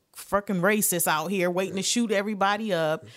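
Speaking with an American accent, a woman uses an ordinary speaking voice at medium pitch and a fairly quick pace. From Detroit, Michigan. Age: 40s. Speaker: comedian. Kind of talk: casual chat.

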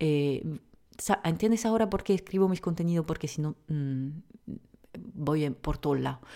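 At a fairly slow pace, the dark, mellow voice moves through long, frequent pauses on a very clean recording with a silent background. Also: woman, very deep, low pitch for a woman, ordinary pitch variation. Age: 30s. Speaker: naturopath and pharmacist podcast host. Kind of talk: unscripted solo podcast answering questions. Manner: hesitant, many fillers.

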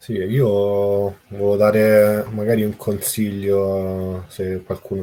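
A man speaks in a dark, mellow tone at a fairly low pitch. His intonation is monotone and flat. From Italy, Rome. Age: 30s. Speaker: blockchain developer. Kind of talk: casual chat.

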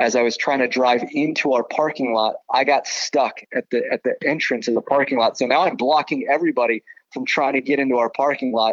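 With an ordinary speaking voice and an American accent, a man at a fairly high pitch talks at a fairly quick pace, with very even loudness, fairly even intonation, and hardly any pauses. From Southern California. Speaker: baseball broadcaster. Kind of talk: casual interview.

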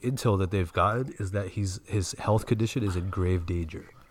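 A man with an American accent, fairly low pitch, somewhat breathy voice, fairly even intonation and a fairly quick pace. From US East Coast. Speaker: podcast co-host. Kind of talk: casual chat.

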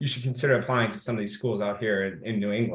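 Somewhat breathy, a man with an American accent speaks at medium pitch with fairly even intonation. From US Midwest, Kenosha, Wisconsin. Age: 30s. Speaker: Marine Corps veteran, corporate strategist. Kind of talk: interview.

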